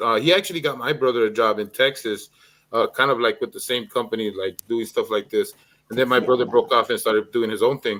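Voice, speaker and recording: A man with a Spanish accent and lively intonation on a very clean recording with a silent background. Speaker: streamer. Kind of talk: casual chat.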